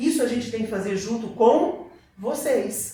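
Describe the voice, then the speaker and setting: Audible room echo and noticeable background noise surround a man speaking at a high pitch with very wide pitch swings. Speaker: church teacher. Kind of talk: Bible class lecture. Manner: conversational, addressing the class.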